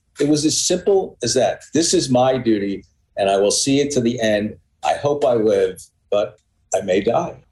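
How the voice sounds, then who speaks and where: Somewhat breathy, the voice moves at a moderate pace in an American accent with lively intonation. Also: man, medium pitch for a man, very even loudness. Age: 60s. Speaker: author and journalist. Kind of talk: interview. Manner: halting, repeats words.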